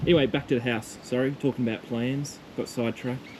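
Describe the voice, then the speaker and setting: A man with an Australian accent at a fairly quick pace, over noticeable background noise. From Tasmania, Australia. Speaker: homesteader vlogger. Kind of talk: casual walking tour vlog. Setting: outdoors and indoors walking around a rural property. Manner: casual, rambling with fillers.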